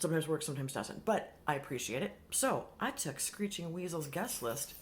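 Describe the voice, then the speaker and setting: Her voice is somewhat breathy and fairly low, with very wide pitch swings as the woman speaks. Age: 50s. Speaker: beauty vlogger. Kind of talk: casual vlog chat. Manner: fast; animated.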